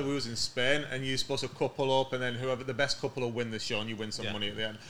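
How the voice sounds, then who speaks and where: A man is heard over noticeable background noise. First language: English, from an Italian family. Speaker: podcast guest, TV cook.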